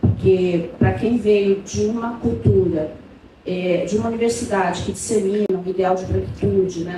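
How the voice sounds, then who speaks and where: A woman's medium-pitched voice at a moderate pace, with ordinary pitch variation, audible room echo and noticeable background noise. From São Paulo city, Brazil. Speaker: professor. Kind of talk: academic panel talk.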